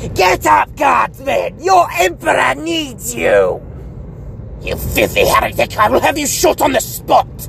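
A put-on character voice shouting at a fairly slow pace over clear background noise. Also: man. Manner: screaming, commanding.

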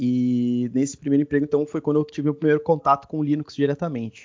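A man talks in an ordinary speaking voice at a fairly quick pace. His pitch is fairly high, with ordinary variation. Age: 20s. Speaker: DevOps engineer and tech content creator. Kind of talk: casual interview.

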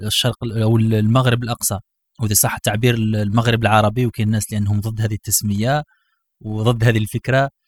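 In a very clean recording with a silent background and a dry, close sound with no echo, a man speaks in a somewhat breathy monotone with flat intonation. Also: medium pitch for a man, moderate pace. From Algeria. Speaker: podcast host. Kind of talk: casual chat.

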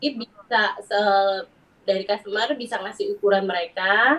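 A woman's fairly high voice at a fairly quick pace. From Central Java, Wonosobo. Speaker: ethnic fashion business owner. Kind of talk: casual chat.

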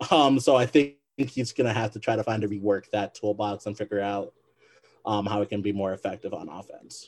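With an American accent, a man talks at a fairly quick pace in an unremarkable speaking voice, his fairly low pitch showing ordinary variation. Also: dry, close sound with no echo. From Michigan. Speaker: basketball podcast co-host. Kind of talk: casual interview.

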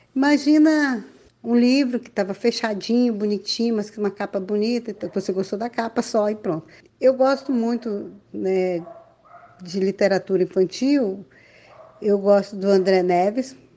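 The voice belongs to a woman with a medium pitch. Her tone is dark and mellow. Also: ordinary pitch variation, moderate pace. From interior of Amazonas, Brazil (Alto Solimões). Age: 50s. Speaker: children's author and storyteller. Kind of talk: interview.

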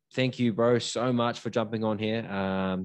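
A man speaks with a New Zealand accent. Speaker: podcast host. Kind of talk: casual chat.

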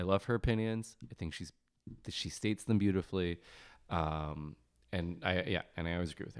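A man's very deep, low voice with an American accent, at a fairly quick pace and with ordinary pitch variation, in a very clean recording with a silent background. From US Midwest, Cleveland. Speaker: podcast guest. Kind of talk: casual chat.

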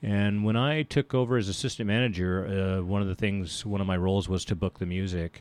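A man with an ordinary speaking voice talks at a fairly low pitch with ordinary pitch variation and hardly any pauses, in a dry, close sound with no echo. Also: fairly quick pace, very clean recording, silent background. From military family, moved around (Germany, Philippines, US South). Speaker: commercial photographer. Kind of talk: radio interview.

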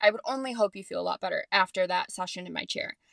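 At a fairly quick pace, a woman speaks in a medium-pitched, bright, sharp voice, with dry, close sound with no echo on a very clean recording with a silent background. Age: 20s. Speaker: podcast host and hairstylist. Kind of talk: casual solo monologue. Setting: home closet with podcast mic. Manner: chatty with many fillers.

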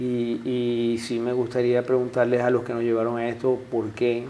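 This is a man speaking. His pitch is medium. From Zulia, Venezuela (eastern lake coast, Maracaibo). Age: 50s. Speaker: businessman, civil engineer. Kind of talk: interview.

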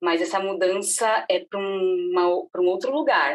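A woman at a medium pitch, with very wide pitch swings. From Brazil, São Paulo. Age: 30s. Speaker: marketing agency director and mother. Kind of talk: casual interview.

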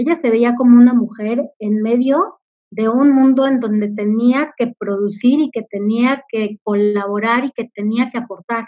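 A woman with an unremarkable speaking voice, fairly high in pitch, fairly even in intonation and fairly slow in pace. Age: 40s. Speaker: corporate communications director. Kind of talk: interview.

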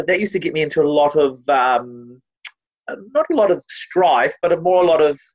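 A man with a New Zealand accent speaks at a moderate pace, his pitch varying in an ordinary way. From New Zealand, Māori family. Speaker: TV presenter and opera singer. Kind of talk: casual interview. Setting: video call.

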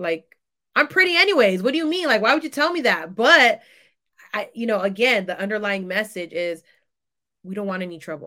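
With an American accent and a bright, sharp tone, the speaker moves at a fairly quick pace, with very wide pitch swings, big swings in loudness and long, frequent pauses. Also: woman. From San Francisco Bay Area, California. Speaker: doctoral student and educator. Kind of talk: casual interview conversation.

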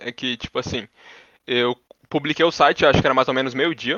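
Fairly even intonation runs through this man's speech. He goes at a very fast pace. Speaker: computer engineering student. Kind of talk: casual interview.

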